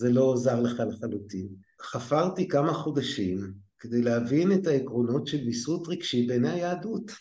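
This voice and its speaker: A man with a medium pitch and a dark, mellow, somewhat breathy tone talks at a moderate pace. His intonation is lively, and the room echo is audible. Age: 60s. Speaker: lecturer in education management, former scientist. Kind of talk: interview conversation.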